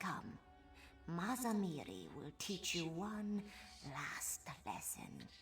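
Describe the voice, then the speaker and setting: Over clear background music, a put-on character voice at middle pitch unfolds at a very slow pace, broken by long, frequent pauses. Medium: video game. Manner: solemn, measured.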